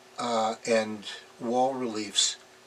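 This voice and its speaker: A man with a medium-pitched voice talks at a very slow pace over noticeable background noise. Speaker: artist and former product designer. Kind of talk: interview monologue. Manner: halting, many fillers.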